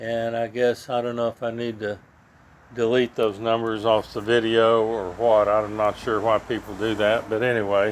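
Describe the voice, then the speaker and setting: A man's monotone, flat voice at a moderate pace. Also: medium pitch for a man. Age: 70s. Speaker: kayak hobbyist. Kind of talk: casual show-and-tell video. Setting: outdoors by garage. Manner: halting, many fillers.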